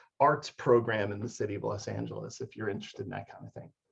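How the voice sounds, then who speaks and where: The speaker is a man. His voice is somewhat breathy. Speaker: HR analyst presenting job information. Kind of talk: online information session. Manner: fast.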